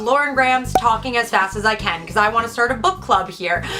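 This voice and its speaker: A woman with an American accent, high-pitched and very fast, her pitch swinging very widely over music in the background. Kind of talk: casual talk to camera.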